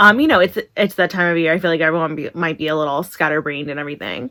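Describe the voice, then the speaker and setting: The speech comes very fast. The speaker is a woman. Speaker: beauty vlogger. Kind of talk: makeup tutorial. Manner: halting, stumbling over words.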